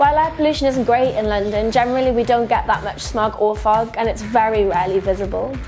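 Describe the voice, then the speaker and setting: With music in the background, a woman with a slight Geordie accent and a fairly high pitch talks at a very fast pace with hardly any pauses. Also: ordinary pitch variation. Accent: slight northern (Geordie). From northeast England, Newcastle. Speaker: video presenter. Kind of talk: scripted explainer.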